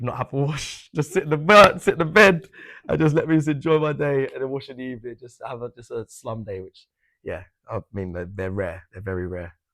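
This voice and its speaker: Using a bright, sharp tone, a man at a medium pitch talks at a fairly quick pace with very wide pitch swings and big swings in loudness on a very clean recording with a silent background. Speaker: football presenter. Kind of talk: interview. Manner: fast.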